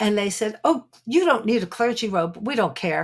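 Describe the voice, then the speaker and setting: At a moderate pace, a woman speaks with a New York accent on a very clean recording with a silent background. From Brooklyn, New York. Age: 70s. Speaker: psychic detective and author. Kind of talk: interview conversation, storytelling. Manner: animated, laughs often.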